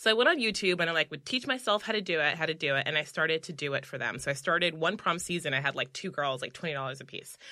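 A woman's fairly low voice with an American accent, bright and sharp in tone, very fast with hardly any pauses. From New York (Bronx). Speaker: sales organization founder. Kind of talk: casual interview.

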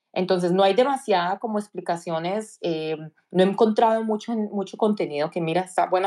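Her tone dark and mellow, a woman talks fairly quickly. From Colombia, Cali. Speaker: tech professional. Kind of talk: interview.

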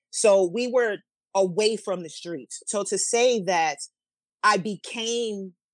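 A woman with a New York accent and ordinary pitch variation, on a very clean recording with a silent background. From New York City, the Bronx. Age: 40s. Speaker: podcast guest, social media co-host. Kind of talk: casual chat. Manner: animated.

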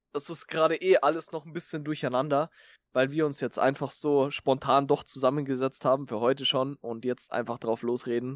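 In a very clean recording with a silent background and a dry, close sound with no echo, an unremarkable speaking voice moves at a moderate pace with fairly even intonation. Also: man, fairly high pitch for a man. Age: 20s. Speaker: podcast co-host, Twitch streamer. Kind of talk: casual chat.

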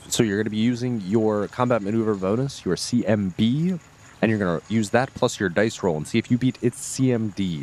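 This is a natural reading voice. The words are read aloud plainly.

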